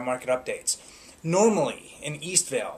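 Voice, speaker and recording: A man's intonation is lively, with noticeable background noise in the recording. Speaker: real estate agent. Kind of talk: market update talk. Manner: fast.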